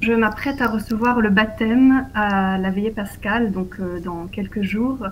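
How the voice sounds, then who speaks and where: A fairly high, somewhat breathy female voice at a fairly slow pace, fairly even in intonation, with audible room echo. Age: 30s. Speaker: interviewee on faith and politics. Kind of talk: interview.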